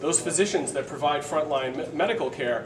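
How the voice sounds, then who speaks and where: At a fairly quick pace, a man speaks with a fairly high pitch and ordinary pitch variation, amid noticeable background noise and audible room echo. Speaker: paramedic and nurse instructor. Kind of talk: live lecture demonstration. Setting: live class with audience. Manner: fast.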